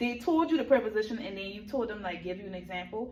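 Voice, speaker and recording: A woman speaks with ordinary pitch variation in a room with audible echo. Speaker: teacher mentor giving classroom observation feedback. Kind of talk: feedback meeting. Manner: fast.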